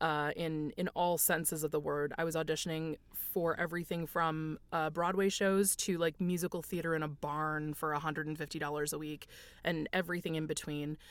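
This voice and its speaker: A woman speaks in a plain, everyday voice at a moderate pace and a fairly low pitch. Her intonation is fairly even, and the recording is very clean with a silent background. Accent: American. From United States. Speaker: voice actor. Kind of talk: casual interview.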